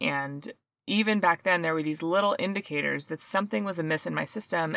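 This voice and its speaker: A normal speaking voice from a woman, fairly low in pitch, at a fairly quick pace with ordinary pitch variation, on a very clean recording with a silent background. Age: 40s. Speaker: health podcast host. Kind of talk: solo podcast monologue. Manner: casual, conversational.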